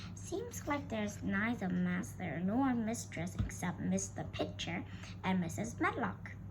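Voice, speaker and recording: Over loud background noise, a put-on character voice moves at a fairly slow pace. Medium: read story. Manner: talkative, homely.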